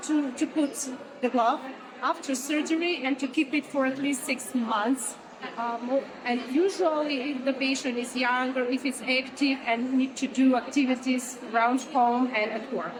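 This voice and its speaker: A woman's high-pitched voice at a moderate pace, with fairly even intonation, over noticeable background noise. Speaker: oncologist. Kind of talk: interview. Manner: halting.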